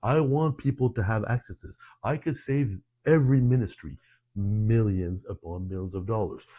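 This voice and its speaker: A man's somewhat breathy, dark, mellow voice at a medium pitch, with lively intonation, big swings in loudness, a moderate pace and a quiet background. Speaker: French teacher. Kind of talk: sales pitch. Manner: animated.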